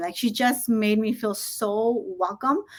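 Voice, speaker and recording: In a very clean recording with a silent background, a woman speaks at a fairly high pitch with fairly even intonation. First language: Spanish. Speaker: school administrator. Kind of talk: interview.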